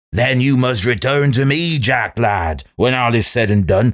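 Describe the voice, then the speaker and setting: A man adopts a put-on character voice and talks fairly slowly. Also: very clean recording, silent background. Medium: read story. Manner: archaic dialect, wheedling.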